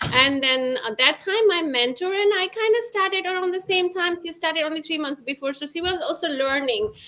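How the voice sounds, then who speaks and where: A woman speaks in a raised, projected voice at an extremely high pitch and a fairly quick pace. Her intonation is lively, and there is noticeable background noise. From Bhutan. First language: not English. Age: 30s. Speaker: former therapist, stay-at-home mom, online business owner. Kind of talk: interview testimony. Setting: live webinar video call. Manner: halting.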